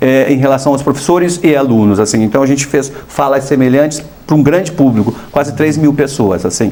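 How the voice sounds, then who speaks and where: This man talks at a fairly quick pace with a fairly high pitch and ordinary pitch variation, over noticeable background noise. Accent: southern Brazilian. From southern Brazil, Paraná. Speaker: artist, former model. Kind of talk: TV interview. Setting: TV studio. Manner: conversational, hesitant fillers.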